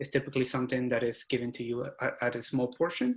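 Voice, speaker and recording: At a very fast pace, a man talks in a somewhat breathy voice at a medium pitch. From abroad, moved to US at 13. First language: not English. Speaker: structural engineer. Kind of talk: panel discussion. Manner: halting.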